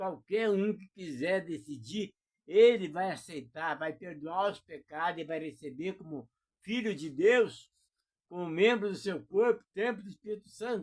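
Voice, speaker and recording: This is a man speaking. His pitch is high. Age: 70s. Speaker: preacher. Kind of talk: sermon.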